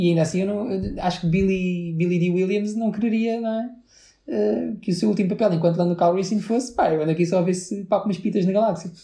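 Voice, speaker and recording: This man's voice is high-pitched, with a dark, mellow tone. He talks at a fairly quick pace. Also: ordinary pitch variation. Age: 30s. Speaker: podcast co-host. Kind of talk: casual chat.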